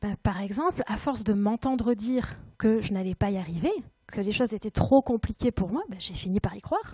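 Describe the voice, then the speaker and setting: A woman talks at a moderate pace, her pitch fairly high. Her voice is somewhat breathy, with a dark, mellow tone. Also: dry, close sound with no echo. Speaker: conference speaker. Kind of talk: conference talk. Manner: hesitant.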